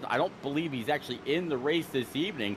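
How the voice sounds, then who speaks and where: A man speaks at a fairly high pitch over noticeable background noise. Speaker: race commentator.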